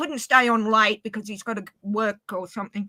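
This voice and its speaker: In an Australian accent, a woman speaks with a bright, sharp tone in a dry, close recording with no echo. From Australia, Inverell, northern New South Wales. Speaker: livestream guest. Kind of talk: casual chat.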